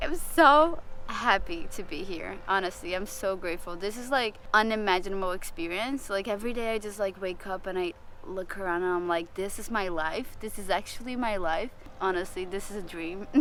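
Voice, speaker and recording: The bright, sharp voice shows ordinary pitch variation, with audible room echo around it. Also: woman, medium pitch for a woman, moderate pace. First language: not English. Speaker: rookie sailing crew member. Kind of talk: confessional interview.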